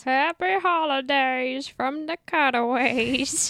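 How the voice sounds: Using a put-on character voice, a woman speaks at a very slow pace with a high pitch. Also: ordinary pitch variation.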